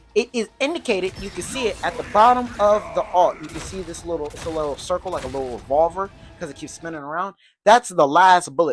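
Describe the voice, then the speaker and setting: A loud, animated woman with a fairly low pitch talks at a fairly quick pace with very wide pitch swings as music plays in the background. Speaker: gaming youtuber. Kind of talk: game tutorial commentary.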